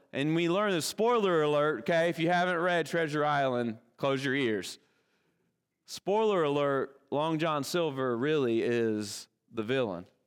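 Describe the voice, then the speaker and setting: With a Kentucky accent, a man speaks at a fairly slow pace in a fairly high pitch, keeping his loudness very even. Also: quiet background. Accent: Kentucky Southern American. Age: 40s. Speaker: pastor. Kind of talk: sermon. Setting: church.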